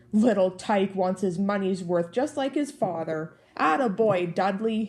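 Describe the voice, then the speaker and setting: A put-on character voice with a growl, delivered at a moderate pace and very even loudness. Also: woman, medium pitch for a woman. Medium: read story. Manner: gruff, blustering.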